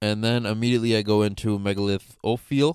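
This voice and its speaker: The speaker is a man whose voice sits at a fairly low pitch. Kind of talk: gameplay commentary. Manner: casual, upbeat.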